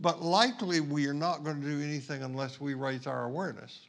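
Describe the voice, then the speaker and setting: With an unremarkable speaking voice, a man talks at a moderate pace, his fairly high pitch moving in lively intonation. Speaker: pastor. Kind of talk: sermon.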